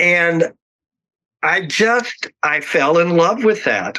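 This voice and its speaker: Bright and sharp in tone, a man's voice sits fairly high. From Oklahoma, US. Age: 60s. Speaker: makeup artist. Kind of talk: interview. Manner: hesitant, many fillers.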